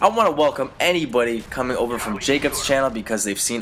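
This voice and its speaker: A man talking very fast, with noticeable background noise. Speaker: gaming YouTuber. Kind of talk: vlog commentary. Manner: casual, halting with fillers.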